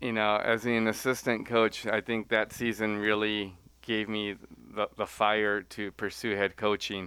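With an American accent, a man speaks at a fairly slow pace in a fairly low pitch. His tone is bright and sharp, and the recording is very clean with a silent background. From Central California (Selma). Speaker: college tennis coach. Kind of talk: interview. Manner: halting, many fillers.

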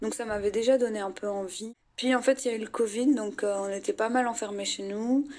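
A woman with an ordinary speaking voice and a fairly high pitch talks at a moderate pace with fairly even intonation. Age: 20s. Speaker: psychology student. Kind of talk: interview testimony.

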